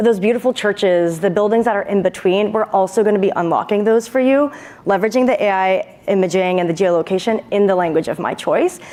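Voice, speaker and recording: At a very fast pace with hardly any pauses, a woman with a medium pitch keeps her loudness very even over noticeable background noise. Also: ordinary pitch variation. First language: Hindi. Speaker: startup founder pitching to judges. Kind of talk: Q&A after startup pitch.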